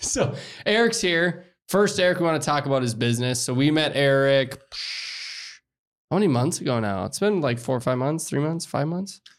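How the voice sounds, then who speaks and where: A man talks in a normal speaking voice at a moderate pace. His pitch is fairly high and his intonation lively. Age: 30s. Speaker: podcast host, business consultant. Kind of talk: casual interview chat.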